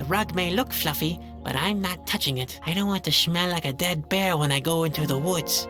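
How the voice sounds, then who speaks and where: A put-on character voice, female-sounding, at middle pitch and a fairly quick pace with hardly any pauses, over loud music in the background. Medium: machinima. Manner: melancholy, self-pitying.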